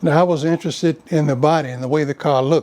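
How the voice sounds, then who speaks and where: A man talks at a fairly quick pace with a fairly high pitch. His tone is dark and mellow, and his intonation fairly even. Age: 80s+. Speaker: classic car owner, former juvenile court worker and wedding car business owner. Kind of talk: casual conversation, interview answer.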